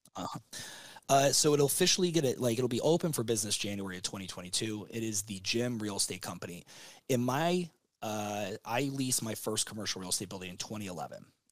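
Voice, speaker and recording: A man's normal speaking voice, medium-pitched with lively intonation at a fairly quick pace. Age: 30s. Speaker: gym business consultant. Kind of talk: casual interview.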